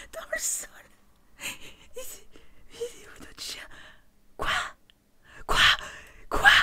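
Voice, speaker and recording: A woman whispering at a very slow pace in an amused tone. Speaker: YouTuber, gamer. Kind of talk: casual gaming commentary to camera. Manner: whispered, amused, reacting with surprise. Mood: amused, exasperated. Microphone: studio mic.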